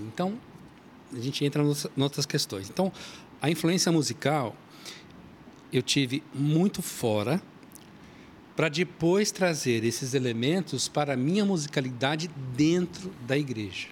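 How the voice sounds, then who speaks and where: Breathy in a mild way, a man with a fairly high voice speaks at a fairly slow pace with lively intonation and long, frequent pauses. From São Paulo, Brazil. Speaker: church musician and author. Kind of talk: casual chat.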